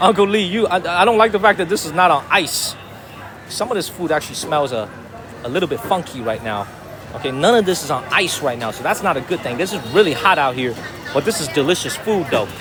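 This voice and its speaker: With music in the background, a man with an American accent talks at a very fast pace in a high, animated voice with very wide pitch swings. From US, Chicago south side and North Carolina. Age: 30s. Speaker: live streamer. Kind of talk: live travel stream. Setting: outdoors street market.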